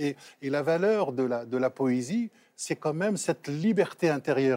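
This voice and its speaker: A man is speaking with a dark, mellow tone. His pitch varies in an ordinary way. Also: very clean recording, silent background. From Morocco, raised in Trappes near Paris. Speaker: novelist and Islam scholar. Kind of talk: talk show discussion.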